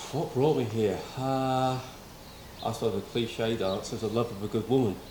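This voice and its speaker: A man with a British accent speaks at medium pitch and a moderate pace. His intonation is fairly even, with audible room echo. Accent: non-local UK. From Wales, city-raised. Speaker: former police officer, volunteer firefighter. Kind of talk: casual interview.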